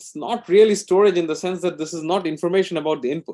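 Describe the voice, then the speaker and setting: Pitched high for a man, his dark, mellow tone moves with ordinary pitch variation. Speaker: computer science researcher. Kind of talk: lecture. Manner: fast.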